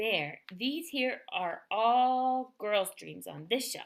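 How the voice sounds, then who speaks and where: In a put-on character voice, a woman speaks at a high pitch and a very slow pace over a silent background in a very clean recording. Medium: read story. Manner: playful, ungrammatical.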